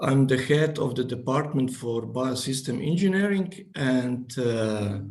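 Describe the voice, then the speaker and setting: A man with a non-native accent speaks fairly slowly at a medium pitch with ordinary pitch variation. Audible room echo and noticeable background noise surround him. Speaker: engineering professor. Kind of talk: presentation. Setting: video call. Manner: halting.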